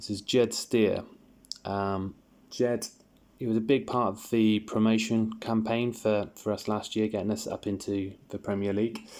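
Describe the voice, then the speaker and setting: A monotone, flat delivery in a British accent at a moderate pace. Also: man, fairly low pitch for a man. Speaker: sports card collector YouTuber. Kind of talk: casual video review. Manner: halting, many fillers and repeats.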